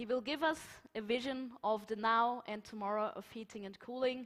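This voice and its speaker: This is a woman's voice. She speaks with a German accent. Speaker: conference moderator. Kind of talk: conference moderation.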